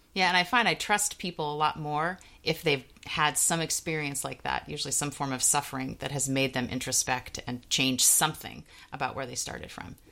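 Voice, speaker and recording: A woman with a very deep, low pitch and vocal fry talks at a fairly quick pace in a bright, sharp tone with ordinary pitch variation. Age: 40s. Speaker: podcast co-host. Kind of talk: casual chat.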